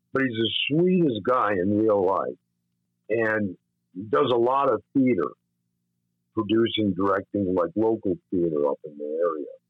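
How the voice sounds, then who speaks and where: Lively in intonation, a man with a fairly low pitch talks at a fairly slow pace with long, frequent pauses. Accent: American. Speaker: filmmaker. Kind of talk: casual interview.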